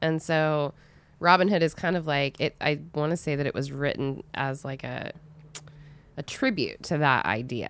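A woman's animated voice with vocal fry, at a moderate pace. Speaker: podcast co-host. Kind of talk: casual banter, comedic podcast chat. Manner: animated, joking.

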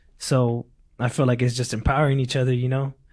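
A man talks at a medium pitch. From Mexico, then rural California from age four. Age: 20s. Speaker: college student and community advocate. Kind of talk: personal interview testimony. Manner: casual, filler-heavy.

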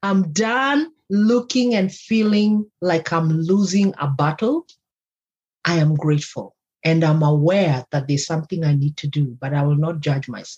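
Her voice is somewhat breathy and fairly low in pitch. This woman speaks at a fairly slow pace. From Kenya. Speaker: life coach and podcast host. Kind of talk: casual interview chat.

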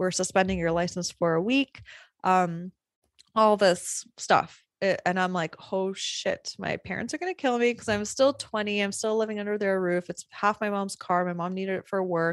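A woman's animated voice at a medium pitch, dry and close with no echo. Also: moderate pace. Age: 30s. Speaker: photography business coach and podcast host. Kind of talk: casual storytelling. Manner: animated, laughing often.

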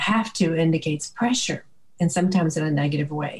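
Calm, soothing tone with a Southern US accent, amid noticeable background noise. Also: woman. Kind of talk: faith-based interview with scripture.

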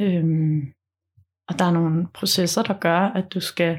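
A woman's somewhat breathy voice. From Denmark, Funen (Munkebo). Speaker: documentary film director. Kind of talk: casual interview. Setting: at home.

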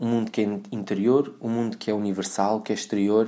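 In a European Portuguese accent, the voice has a dark, mellow tone on a very clean recording with a silent background. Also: man. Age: 30s. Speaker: podcast host, personal trainer. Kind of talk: podcast monologue. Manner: halting, many fillers.

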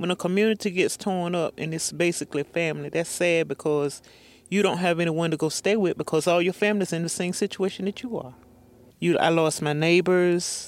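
A woman with an eastern North Carolina accent speaks at a fairly quick pace. Her pitch sits fairly low, and her intonation stays fairly even. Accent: eastern North Carolina Southern. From eastern North Carolina, Pender County. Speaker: retired hurricane survivor. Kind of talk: interview testimony.

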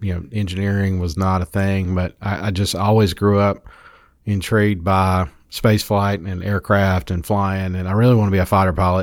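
A man speaks at a moderate pace with low pitch and little pitch movement. The recording is very clean, with a silent background.

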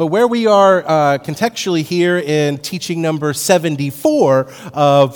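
Lively intonation in a plain, everyday voice, from a man with a fairly high pitch at a fairly slow pace. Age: 50s. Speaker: pastor. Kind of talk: sermon.

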